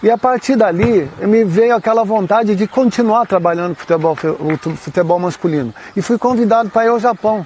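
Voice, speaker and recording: Amid noticeable background noise, a man speaks fairly quickly, his pitch varying in an ordinary way. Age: 60s. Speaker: women's football coach. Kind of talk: interview.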